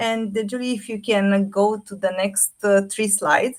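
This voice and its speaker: A woman speaks at a moderate pace with a Romanian accent. Her pitch sits in the medium range and varies in an ordinary way. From Romania, Bucharest. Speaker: AI artist and fashion designer. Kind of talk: presentation talk.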